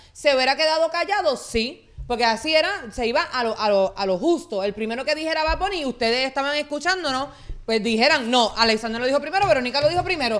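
Lively intonation at a very fast pace, over noticeable background noise. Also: woman, high pitch for a woman. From Puerto Rico, Guaynabo and Caguas. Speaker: reaction channel co-host. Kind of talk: casual live-stream chat. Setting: live stream.

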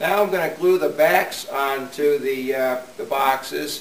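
With audible room echo and light background noise, a man speaks at a moderate pace. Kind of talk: tutorial. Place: workshop.

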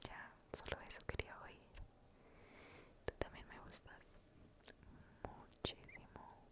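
A soft-spoken woman whispering at a very slow pace. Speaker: ASMR creator. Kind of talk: soft ASMR roleplay. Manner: tender soft whisper into mic. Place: home room. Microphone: studio mic.

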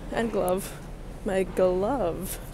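Light background noise beneath a woman's dry, echo-free voice. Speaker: vlogger. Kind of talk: casual vlog chat. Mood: excited, playful. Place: street. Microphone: earbuds.

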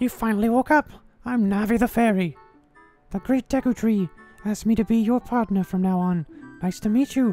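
Over faint background music, a man does a put-on character voice at a high pitch and a fairly quick pace, with long, frequent pauses. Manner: excited, bossy.

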